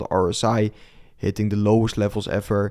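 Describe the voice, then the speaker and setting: A man speaks in a fairly low pitch with a Dutch accent. His tone is dark and mellow. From Netherlands. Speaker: crypto trader and streamer. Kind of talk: live stream market commentary with chat Q&A. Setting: live stream. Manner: hesitant, many fillers.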